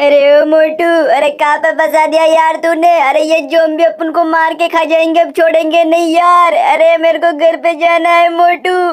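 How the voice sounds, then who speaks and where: The put-on character voice is whiny and delivered at a moderate pace. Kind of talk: comic cartoon dubbing. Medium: machinima. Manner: pleading, whiny, panicky.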